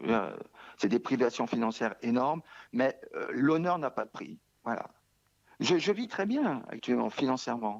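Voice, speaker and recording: With vocal fry and lively intonation, the speaker moves at a fairly slow pace, taking long, frequent pauses over a quiet background. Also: man, medium pitch for a man. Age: 60s. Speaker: hunger striker. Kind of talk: interview. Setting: remote interview from home. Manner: halting, repetitive.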